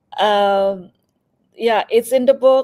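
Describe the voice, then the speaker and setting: A woman speaks at a fairly slow pace with a dark, mellow tone and fairly even intonation. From Indonesia. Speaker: cybersecurity consultant. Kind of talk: interview.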